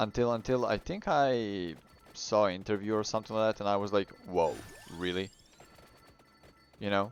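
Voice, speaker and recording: This man has a Serbian accent and a fairly low pitch, with ordinary pitch variation. He speaks at a moderate pace, with long, frequent pauses. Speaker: gaming YouTuber. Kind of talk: casual gameplay commentary. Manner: halting, frequent repetitions.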